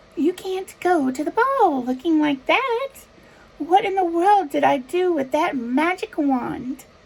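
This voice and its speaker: A woman's squeaky, put-on character voice, with an extremely high pitch, very wide pitch swings and a fairly slow pace. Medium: read story.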